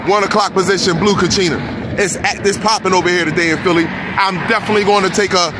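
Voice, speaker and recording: With hardly any pauses, a man talks at a very fast pace in a dry, echo-free recording with noticeable background noise. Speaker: sky-watching vlogger. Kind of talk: casual vlog commentary. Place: car. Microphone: phone near.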